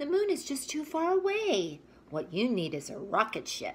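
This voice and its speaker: A woman speaks in a put-on character voice with a high pitch. Her pace is moderate. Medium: read story. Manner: sensible, friendly.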